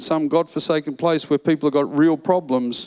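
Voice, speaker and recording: At a moderate pace, a man talks with an Australian accent in a dry, close sound with no echo. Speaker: financial seminar presenter. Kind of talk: seminar talk. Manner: animated.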